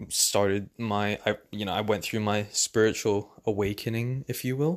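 A man with a British accent speaks in a relaxed tone at a fairly low pitch with fairly even intonation, in a very clean recording with a silent background. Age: 20s. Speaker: podcaster. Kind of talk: casual monologue. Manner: relaxed, frequent fillers and laughs.

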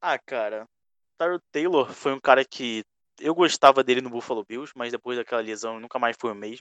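A man with an ordinary speaking voice, medium pitch, ordinary pitch variation, a moderate pace and big swings in loudness, in a dry, close sound with no echo. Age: 20s. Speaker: podcast host and NFL fan. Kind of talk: casual chat. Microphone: mic badly placed early on.

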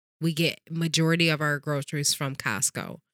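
On a very clean recording with a silent background and a dry, close sound with no echo, the speaker has a bright, sharp, animated tone at a moderate pace. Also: woman. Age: 30s. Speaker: podcast co-host. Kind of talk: casual chat.

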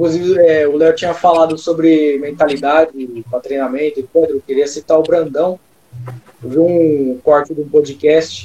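A man talks at a moderate pace in a plain, everyday voice. His pitch is fairly high. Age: 20s. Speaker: fitness content creator on mindset. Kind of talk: casual chat. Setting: live stream on Instagram.

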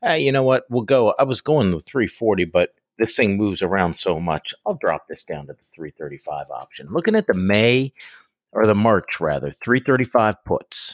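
Dry and close with no echo, a man at a medium pitch uses vocal fry, very wide pitch swings and big swings in loudness. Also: moderate pace. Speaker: podcast co-host. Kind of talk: casual chat.

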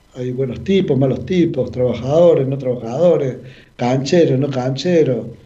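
Audible room echo follows a man speaking at a moderate pace with a medium pitch and ordinary pitch variation. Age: 50s. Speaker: paralympic athlete. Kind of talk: radio interview.

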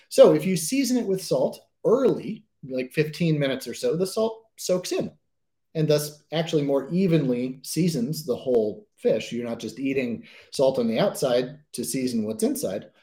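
A man's somewhat breathy, fairly high voice at a moderate pace, with very wide pitch swings and a dark, mellow tone. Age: 40s. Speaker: chef and author. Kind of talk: online presentation. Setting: home kitchen studio, online event.

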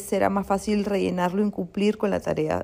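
A woman is speaking. Her pace is fairly quick. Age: 30s. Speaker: life coach and podcaster. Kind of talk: reflective solo monologue. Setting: at home, seated comfortably. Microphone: not using her usual pro microphone.

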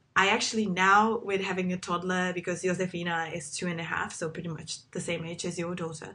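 A woman with a Czech accent speaks at a fairly quick pace with monotone, flat intonation. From Czech Republic. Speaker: podcast host. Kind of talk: casual chat. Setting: video call.

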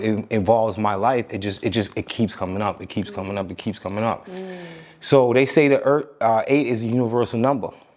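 A man's medium-pitched voice in a New York accent, with ordinary pitch variation. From Long Island, New York (Amityville). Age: 40s. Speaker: personal fitness trainer. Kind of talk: interview, casual conversation.

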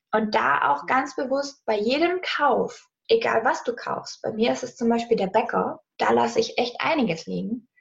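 At a moderate pace, a woman talks with hardly any pauses. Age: 20s. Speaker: money mindset and business coach. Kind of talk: casual interview. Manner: animated.

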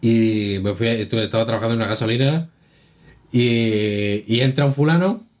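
At a moderate pace, a man with a medium-pitched, plain, everyday voice talks with ordinary pitch variation and very even loudness. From Spain. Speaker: podcast co-host. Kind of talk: casual chat.

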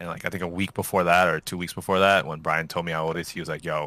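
The speech comes very fast in a bright, sharp tone with monotone, flat intonation. The recording is very clean, with a silent background. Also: man. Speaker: guest podcast host. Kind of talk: casual chat.

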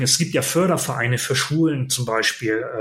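A man's somewhat breathy voice at a moderate pace, with ordinary pitch variation and audible room echo. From northern Germany, near Bremen (Lower Saxony). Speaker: podcaster and club press officer. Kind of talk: interview conversation. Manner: hesitant fillers (äh, ähm).

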